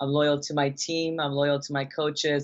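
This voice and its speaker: A woman's very deep, low voice at a fairly slow pace in a monotone, flat intonation. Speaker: bikini bodybuilding competitor. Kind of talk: interview. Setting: live video interview. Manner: loud.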